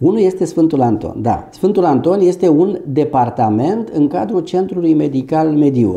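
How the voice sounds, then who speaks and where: Over a quiet background, a man with a dark, mellow tone and vocal fry speaks at a fairly slow pace with lively intonation. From Romania, Ilfov county near Bucharest; Romania. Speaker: doctor and medical business owner. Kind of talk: interview. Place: office. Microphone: lapel.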